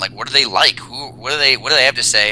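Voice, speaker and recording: A man speaks against noticeable background noise. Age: 30s. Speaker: personal trainer and dating coach. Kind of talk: casual chat.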